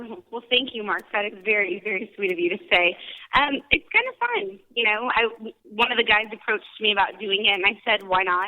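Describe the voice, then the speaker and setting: A woman's ordinary speaking voice, fairly high in pitch, with fairly even intonation and a moderate pace. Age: young. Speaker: race organizer. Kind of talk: casual radio interview. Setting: phone call.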